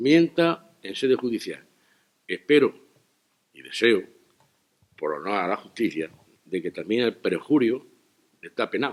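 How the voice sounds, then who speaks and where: A man with a medium pitch and vocal fry talks at a fairly slow pace, with very wide pitch swings and long, frequent pauses, in a dry, close sound with no echo. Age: 70s. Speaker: local politician. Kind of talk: press conference statement.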